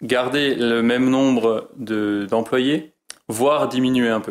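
His intonation is fairly even. The man's pitch sits in the medium range. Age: 30s. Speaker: horse stable manager and farmer. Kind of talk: interview. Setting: on location at stable. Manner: halting.

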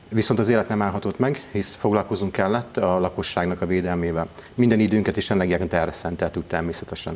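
With a very deep, low pitch, a man talks at a fairly quick pace using ordinary pitch variation. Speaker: town mayor. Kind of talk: interview answer. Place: studio. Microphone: lapel.

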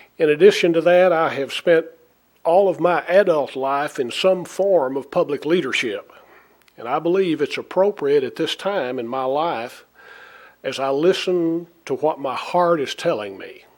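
In a normal speaking voice, a man talks at a fairly high pitch and a moderate pace, with ordinary pitch variation. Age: 60s. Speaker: city mayor. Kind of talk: formal resignation speech. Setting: city council meeting. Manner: formal.

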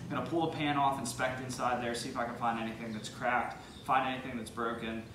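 A man talks at a very fast pace in a monotone, flat intonation. Audible room echo and noticeable background noise surround his voice. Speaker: car hobbyist vlogger. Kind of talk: casual vlog chat. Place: garage. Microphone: camera far.

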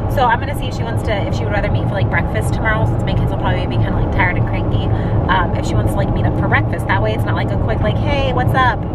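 Over music in the background, a woman talks at a very fast pace, the sound dry with no echo. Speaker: parent vlogger. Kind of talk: casual vlog chat. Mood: upbeat, chatty. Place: car. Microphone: phone near.

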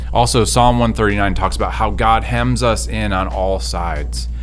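A man's voice with ordinary pitch variation, faint music in the background. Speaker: speaker. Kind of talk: devotional talk to camera. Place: studio. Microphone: studio mic.

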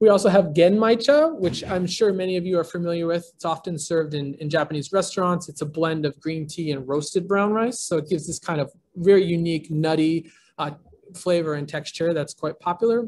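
A man at a high pitch, fairly quick pace and ordinary pitch variation, over light background noise. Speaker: tea company founder. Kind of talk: online presentation. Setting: video call. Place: home room. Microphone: video call.

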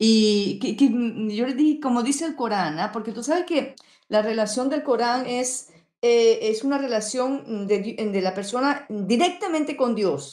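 Intonation is lively while the pace stays fairly slow. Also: woman, high pitch for a woman. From Venezuela. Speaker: YouTuber. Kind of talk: panel discussion.

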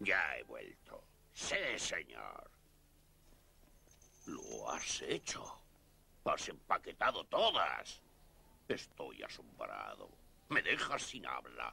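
A man speaks in a put-on character voice. He goes at a very slow pace with long, frequent pauses. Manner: bullying, capricious, mocking.

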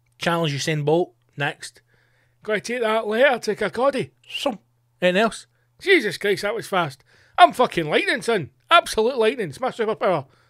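With an Edinburgh accent, a man speaks fairly quickly in a high, animated voice with very wide pitch swings, the sound dry with no echo and the background quiet. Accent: Scottish (Edinburgh). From Scotland. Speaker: comedian and podcast host; comedian, podcast host. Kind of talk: casual solo monologue. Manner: animated, sweary. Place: studio. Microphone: studio mic.

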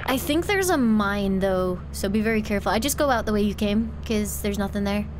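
Over background music and audible room echo, a woman speaks at a fairly quick pace with very even loudness. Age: 20s. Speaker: vtuber streamer. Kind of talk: live gaming stream chat. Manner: fast.

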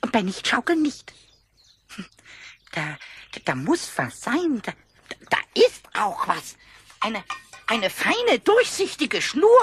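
A man in a put-on character voice talks at a fairly slow pace with an extremely high pitch, leaving long, frequent pauses. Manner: excited, stammering.

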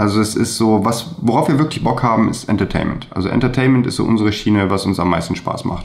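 In a plain, everyday voice, a man speaks at a fairly low pitch with ordinary pitch variation. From Germany, Remscheid (North Rhine-Westphalia); North Rhine-Westphalia. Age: 30s. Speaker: videographer; guest. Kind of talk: interview. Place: home room. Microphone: webcam.

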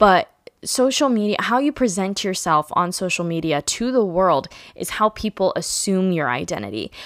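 A woman's medium-pitched voice at a moderate pace, lively in intonation and animated in tone, dry with no echo over a quiet background. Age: 20s. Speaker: podcast host; podcast host, blogger. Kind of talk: casual monologue. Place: home room. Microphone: studio mic.

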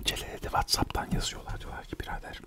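A man whispers over loud background noise. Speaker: storyteller. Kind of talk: casual comic storytelling. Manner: close whisper right after drinking milk. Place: home room. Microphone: studio mic.

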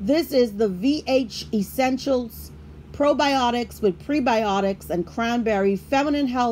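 Light background noise sits behind a woman talking at a very slow pace. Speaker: product reviewer. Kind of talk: product review chat. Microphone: phone near.

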